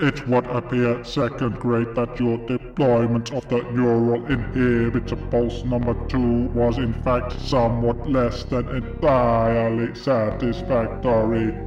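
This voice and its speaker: A man puts on a booming character voice at medium pitch, going at a fairly slow pace with hardly any pauses. Loud background noise and a slight echo surround him. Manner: cold, formal, clipped.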